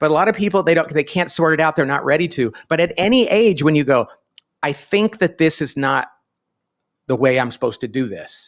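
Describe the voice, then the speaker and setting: A man's plain, everyday voice at a fairly quick pace on a very clean recording with a silent background. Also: fairly high pitch for a man. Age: 50s. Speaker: business author and company founder. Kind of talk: podcast interview.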